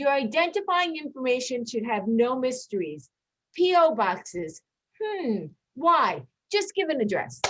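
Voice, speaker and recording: Loud and high-pitched, a woman speaks with very wide pitch swings. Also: fairly slow pace. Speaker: school personnel administrator. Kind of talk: workshop presentation. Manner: animated.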